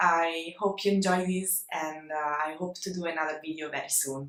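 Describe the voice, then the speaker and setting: A woman's fairly low, bright and sharp voice with an Italian accent, at a fairly slow pace and with fairly even intonation. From Italy. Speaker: illustrator. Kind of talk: casual vlog talk to camera. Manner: hesitant, many fillers.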